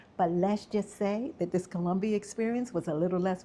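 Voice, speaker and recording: With an American accent, a woman talks at a medium pitch in an animated tone. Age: 60s. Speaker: travel vlogger. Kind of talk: scripted narration.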